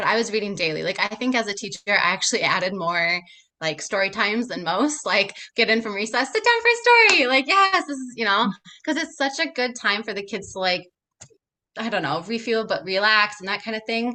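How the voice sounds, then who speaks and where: With an Upper Midwest accent, a woman speaks at a fairly quick pace with a fairly high pitch and lively intonation. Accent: Upper Midwest American. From Minnesota, USA. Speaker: picture book writer and former pre-K teacher. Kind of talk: podcast interview answer. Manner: casual, chatty.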